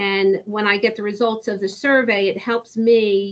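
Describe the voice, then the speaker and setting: A woman speaks at a medium pitch and a moderate pace. It is a normal speaking voice. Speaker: special education teacher. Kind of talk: interview conversation.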